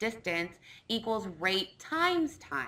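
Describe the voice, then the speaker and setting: Fairly slow delivery in a bright, sharp tone with very wide pitch swings. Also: woman. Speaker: science teacher. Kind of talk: lecture.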